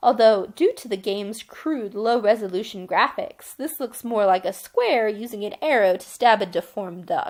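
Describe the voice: Just plain reading aloud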